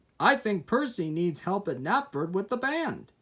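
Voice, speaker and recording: Putting on a character voice, a man talks at a moderate pace with a high pitch and very wide pitch swings. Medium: read story.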